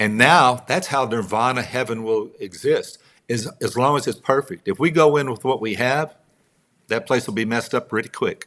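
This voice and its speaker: Speaking at a moderate pace in a Texas accent, a man with a medium pitch and ordinary pitch variation comes through on a very clean recording with a silent background. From Texas, Midland. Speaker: songwriter and author. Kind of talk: interview conversation.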